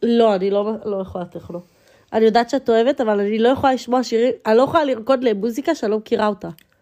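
At a very fast pace, a woman speaks with a fairly high pitch, a dark, mellow tone and ordinary pitch variation. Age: 20s. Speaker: podcast co-host, student. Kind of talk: casual chat.

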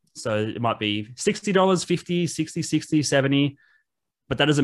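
Against a quiet background, a man with an Australian accent talks at a fairly quick pace with ordinary pitch variation. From Australia, Wollongong. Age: 30s. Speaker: reseller and podcaster. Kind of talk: casual interview chat.

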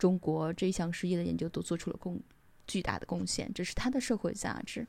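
Recorded very cleanly against a silent background, a woman speaks at a moderate pace. Her fairly low voice has a dark, mellow tone. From China. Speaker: podcaster, IT professional. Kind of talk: reading aloud own essay.

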